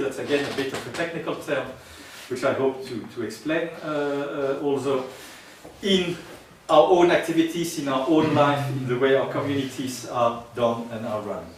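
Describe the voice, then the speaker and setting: Speaking at a moderate pace, a man with a French accent has a fairly high pitch and ordinary pitch variation. Audible room echo and noticeable background noise fill the recording. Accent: French-tinged English. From Netherlands and France. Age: 60s. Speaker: social geographer and free software advocate. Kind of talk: conference talk. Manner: halting, frequent hesitations.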